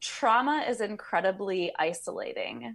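On a very clean recording with a silent background, a woman of medium pitch speaks at a fairly slow pace in a plain, everyday voice. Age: 30s. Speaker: body work practitioner. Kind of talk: casual chat.

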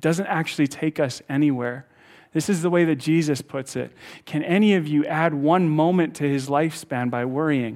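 On a very clean recording with a silent background, a man speaks at a moderate pace, his fairly high pitch showing ordinary variation. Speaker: pastor. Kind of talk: sermon. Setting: church with live audience. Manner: loud; animated.

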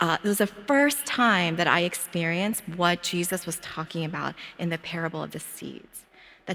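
This woman has an American accent. Her pitch sits fairly low. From Philadelphia. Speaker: preacher and doctor. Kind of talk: sermon.

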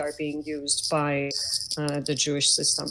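Noticeable background noise surrounds a woman who talks at a moderate pace. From Iran. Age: 50s. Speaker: caller. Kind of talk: call-in question.

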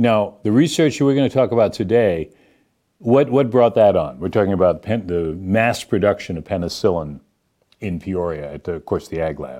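A man speaks with an American accent at a moderate pace. His tone is dark and mellow, and his pitch swings very widely. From Boston. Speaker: local interview show host. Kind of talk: casual interview.

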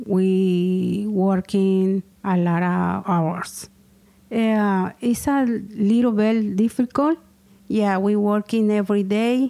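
At a very slow pace, a woman with a Spanish accent talks in a dark, mellow tone at a medium pitch with fairly even intonation. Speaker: small business owner. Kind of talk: interview testimony. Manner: halting.

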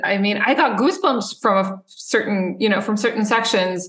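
A woman speaks at a fairly quick pace. She has a normal speaking voice. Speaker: percussionist and composer. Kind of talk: casual interview. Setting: video call. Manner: joking, humorous.

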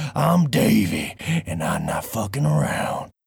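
Using a put-on character voice, the speaker talks fairly slowly in a raspy, low pitch. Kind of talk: gruff. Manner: tough, blunt.

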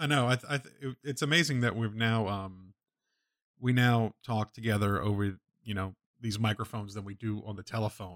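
On a very clean recording with a silent background and a dry, close sound with no echo, a man speaks in an ordinary speaking voice at a medium pitch and a moderate pace, with ordinary pitch variation. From New Orleans, US South. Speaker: co-host, photographer. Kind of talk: casual chat.

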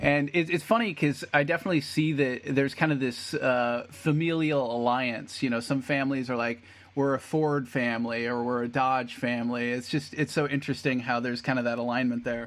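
In a very clean recording with a silent background, a man with an ordinary speaking voice and medium pitch talks at a fairly quick pace with fairly even intonation and hardly any pauses. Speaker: podcast host. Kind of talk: casual interview chat.

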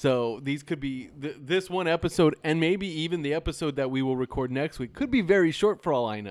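Speaking in a normal speaking voice, a man uses ordinary pitch variation at a fairly high pitch. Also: fairly quick pace, hardly any pauses. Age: 40s. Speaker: podcast host. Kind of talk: casual chat.

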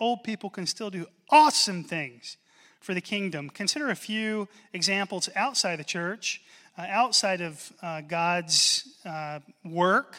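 A man with a high, bright, sharp voice speaks in a raised, projected way at a fairly slow pace with ordinary pitch variation. The recording is very clean with a silent background. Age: 40s. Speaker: pastor. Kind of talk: sermon. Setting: church.

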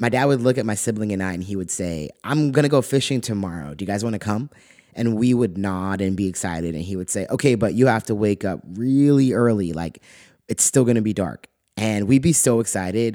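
Against a silent background in a very clean recording, a man with a Californian accent speaks at a fairly quick pace and fairly low pitch with ordinary pitch variation. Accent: Californian American. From California (Lompoc). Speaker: podcaster telling personal stories. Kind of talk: personal essay read aloud.

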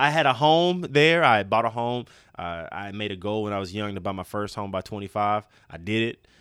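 An energetic man with an American accent talks at a fairly quick pace, his fairly low voice full of lively intonation on a very clean recording with a silent background. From East Texas. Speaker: fitness coach, online training business founder. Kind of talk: casual interview. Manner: energetic, halting with many repetitions.

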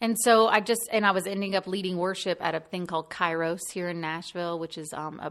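Over a quiet background, a woman talks at a fairly quick pace with fairly even intonation. Hers is an ordinary speaking voice with a fairly low pitch. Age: 30s. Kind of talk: casual interview.

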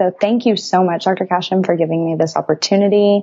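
Using a plain, everyday voice, a woman with an American accent talks at a medium pitch and a fairly quick pace. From Texas. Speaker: pre-chiropractic student. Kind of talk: interview.

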